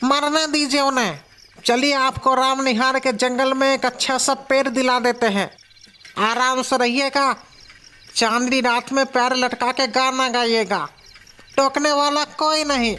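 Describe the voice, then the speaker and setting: A put-on character voice, pitched high, unfolds at a fairly slow pace. The high pitch holds throughout. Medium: read story. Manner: chatty, laughing.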